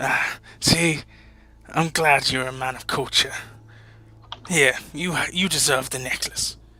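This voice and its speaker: In a put-on character voice with a low-to-middle pitch, the speaker moves at a fairly slow pace with long, frequent pauses. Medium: actual play. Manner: old-fashioned pirate phrasing.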